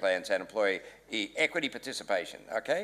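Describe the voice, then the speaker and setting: With an Australian accent, a man speaks. His pace is fairly quick. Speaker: panelist, business advisor. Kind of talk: panel discussion. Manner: fast.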